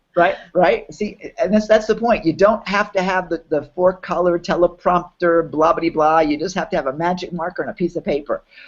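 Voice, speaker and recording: A man's high-pitched voice at a fairly quick pace. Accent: New York. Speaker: online business workshop host. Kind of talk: live webinar promo chat. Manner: animated.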